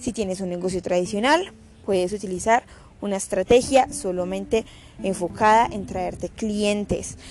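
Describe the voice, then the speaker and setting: At a moderate pace, a woman uses an unremarkable speaking voice of medium pitch with ordinary pitch variation. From Colombia. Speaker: podcast host on digital business. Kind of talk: casual solo podcast talk. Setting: home recording.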